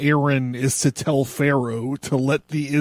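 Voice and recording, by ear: Intonation stays fairly even as the text is read aloud in a natural voice.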